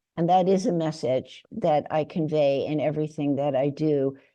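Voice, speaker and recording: Over a quiet background, a woman speaks with a very deep, low pitch and a dark, mellow tone. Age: 80s+. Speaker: neuroscientist and poet. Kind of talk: interview.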